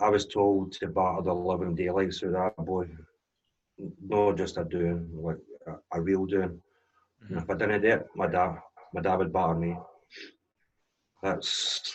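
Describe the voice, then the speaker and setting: A man's very deep, low voice in a Glaswegian accent, fairly slow and monotone, with flat intonation and long, frequent pauses. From Scotland, Glasgow east end. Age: 40s. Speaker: DJ and drone business owner sharing life story. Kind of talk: personal testimony in interview.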